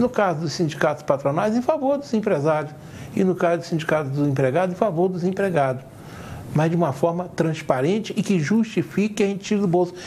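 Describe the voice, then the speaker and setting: Talking at a fairly quick clip, a man uses a high voice full of lively intonation. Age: 60s. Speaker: TV talk show host. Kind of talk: TV interview discussion.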